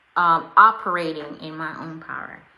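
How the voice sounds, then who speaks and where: A woman speaks very slowly at a fairly low pitch. Audible echo fills the room. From Jamaica. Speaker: life and fitness coach. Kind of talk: live video talk to followers.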